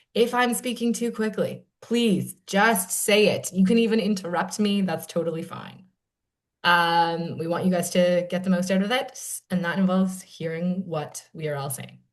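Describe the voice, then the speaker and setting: A woman with a plain, everyday voice talks at medium pitch and a moderate pace. Her pitch varies in an ordinary way while her loudness swings widely. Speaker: panel moderator, nonprofit program director. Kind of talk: panel discussion introduction.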